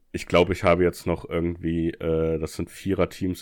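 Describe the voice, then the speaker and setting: The man's voice sits at a very deep, low pitch. He speaks at a moderate pace with monotone, flat intonation. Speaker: podcast co-host. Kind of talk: casual chat.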